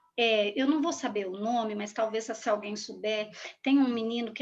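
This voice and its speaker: An ordinary speaking voice at a moderate pace. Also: woman. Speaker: school supervisor speaking on race. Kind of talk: talk to school students.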